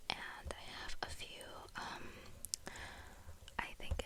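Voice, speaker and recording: Very slow whispering against noticeable background noise. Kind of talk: ASMR whispered talk to camera. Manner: whispered, rambling, casual.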